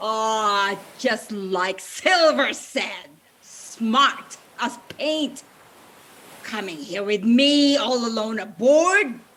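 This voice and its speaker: A female-sounding voice in a put-on character voice goes at a very slow pace, pitched fairly high. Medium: stage play. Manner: sly, wheedling.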